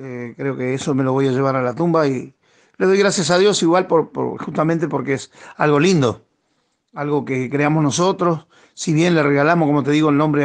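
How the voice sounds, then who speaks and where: Over a quiet background, a man speaks at a moderate pace with a fairly high pitch and ordinary pitch variation. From Argentina, Chaco province. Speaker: tropical music singer. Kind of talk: radio interview. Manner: halting, many repetitions.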